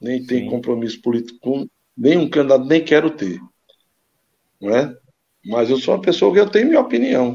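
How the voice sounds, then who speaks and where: With lively intonation and long, frequent pauses, a man speaks fairly quickly in a medium-pitched voice with a dark, mellow tone. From Brazil, Caruaru, Pernambuco. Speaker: former amateur footballer. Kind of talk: casual interview.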